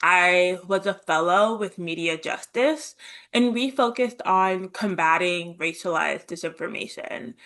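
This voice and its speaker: Against a quiet background, a woman with a bright, sharp tone speaks at a fairly slow pace with ordinary pitch variation. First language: American Sign Language. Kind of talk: presentation. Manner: deaf speaker, raised speaking orally.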